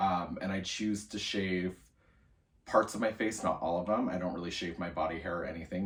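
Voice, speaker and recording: A man's very deep, low voice, somewhat breathy, at a moderate pace with fairly even intonation. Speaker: college student. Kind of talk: video journal entry, casual monologue. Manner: casual, many fillers.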